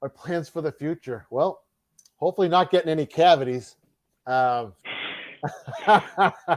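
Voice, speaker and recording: The pace is fairly slow, broken by long, frequent pauses. Pitch varies in an ordinary way, and the sound is dry and close with no echo. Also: man, fairly high pitch for a man. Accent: Boston. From Massachusetts, north of Boston. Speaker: mail carrier and YouTube game show host. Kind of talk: interview.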